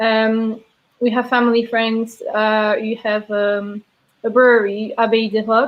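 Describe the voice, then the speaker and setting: In a Belgian accent, a woman speaks fairly slowly at a fairly high pitch. Her intonation is flat and monotone. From Belgium (Mons, French-speaking south). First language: French. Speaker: brewery sales and taproom manager. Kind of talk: casual interview chat.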